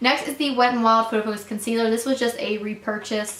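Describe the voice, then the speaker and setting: A woman's fairly high voice at a fairly quick pace, over noticeable background noise. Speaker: beauty vlogger. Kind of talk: product haul review. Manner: fast; casual, filler-heavy.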